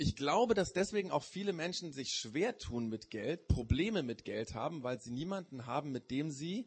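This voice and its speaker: Somewhat breathy, a man with a fairly high pitch uses very wide pitch swings at a moderate pace. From Germany. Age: 40s. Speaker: preacher. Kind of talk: sermon. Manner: hesitant, many filler sounds.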